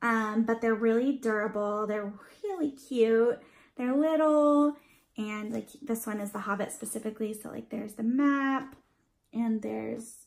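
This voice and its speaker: A woman talks at a fairly slow pace, her fairly high pitch moving in an ordinary way. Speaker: beauty and lifestyle vlogger. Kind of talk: haul video, casual chat to camera. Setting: at home, dad in the next room. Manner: casual, filler-heavy; quieter than usual.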